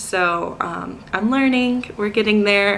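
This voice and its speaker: Against noticeable background noise, a woman with an American accent speaks at a fairly slow pace with ordinary pitch variation. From North Carolina, US South. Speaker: teacher. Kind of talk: casual vlog talk to camera. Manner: hesitant, many filler words.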